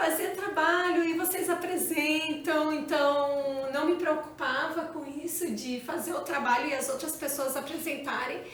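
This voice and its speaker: Against noticeable background noise and audible room echo, a woman with a high pitch talks at a fairly slow pace with hardly any pauses and fairly even intonation. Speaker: channel co-host. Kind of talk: casual chat.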